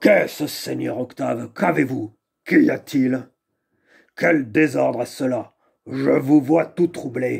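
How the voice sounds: A growling, put-on character voice moves at a fairly slow pace with long, frequent pauses. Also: man, medium pitch for a man.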